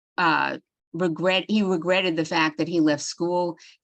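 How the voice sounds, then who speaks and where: A woman speaks with a New York accent and a fairly low pitch. Her intonation is monotone and flat, against a quiet background. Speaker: psychologist giving a webinar. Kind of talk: webinar lecture. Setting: online webinar.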